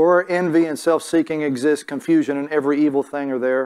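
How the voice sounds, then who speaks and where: Over a quiet background, a man talks at a fairly quick pace with fairly even intonation. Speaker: preacher. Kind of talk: sermon. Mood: calm, earnest. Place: church.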